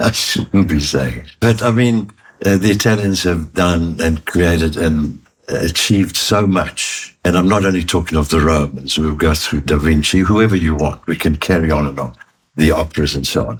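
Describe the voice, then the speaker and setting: Speaking at a moderate pace, a man has a very deep, low pitch, ordinary pitch variation, and a somewhat breathy voice. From Italy, raised in South Africa. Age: 80s+. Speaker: retired chartered accountant and business executive. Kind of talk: interview answer.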